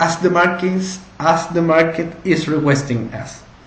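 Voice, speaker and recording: With a Spanish accent and a high pitch, a man talks at a fairly slow pace over noticeable background noise. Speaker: entrepreneur. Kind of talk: pitch presentation. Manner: halting, with repeated words.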